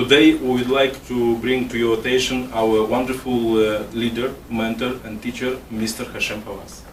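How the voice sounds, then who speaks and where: Over noticeable background noise, the voice runs in a flat monotone with hardly any pauses. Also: man, medium pitch for a man, moderate pace. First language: Russian. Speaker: immigration consultant, interviewer. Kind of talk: interview. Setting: office. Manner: partly reading from paper.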